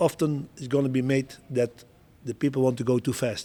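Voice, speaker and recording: A man with a Dutch accent has a dark, mellow tone at medium pitch. He speaks at a moderate pace. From Netherlands. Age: 60s. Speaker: show jumping coach and Olympic rider. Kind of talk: interview. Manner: halting, with repetitions.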